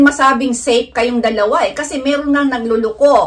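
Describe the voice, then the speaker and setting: With a bright, sharp tone and a high-pitched voice, a woman talks at a moderate pace against a quiet background. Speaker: vlogger. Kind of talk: informal health talk vlog. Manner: halting, stumbles over medical terms. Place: home room.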